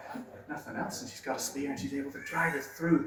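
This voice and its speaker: The intonation is lively. Noticeable background noise can be heard. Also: man. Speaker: storyteller; museum visitor guide. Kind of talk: live folklore storytelling to an audience. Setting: small room in a pub, noisy.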